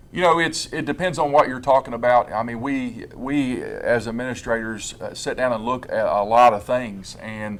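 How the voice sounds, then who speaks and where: Speaking at a moderate pace with hardly any pauses, a man with a medium-pitched voice is heard over noticeable background noise. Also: ordinary pitch variation. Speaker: school administrator. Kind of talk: interview. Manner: calm; halting.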